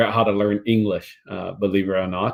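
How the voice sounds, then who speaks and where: The speaker is a man with a Vietnamese accent. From Vietnam, moved to US at ten. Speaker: career fair speaker, tech company employee. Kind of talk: career talk to children. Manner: halting, many repeated words.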